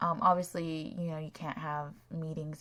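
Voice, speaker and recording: A woman's somewhat breathy voice comes at a moderate pace on a very clean recording with a silent background. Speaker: Sims speed builder. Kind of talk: casual game commentary.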